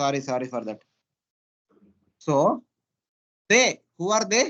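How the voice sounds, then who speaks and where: A man with a Telugu accent, fairly slow pace, very wide pitch swings, and a dry, close sound with no echo. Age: 40s. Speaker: spiritual teacher. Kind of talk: scripture class. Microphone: poor internet, voice fluctuates.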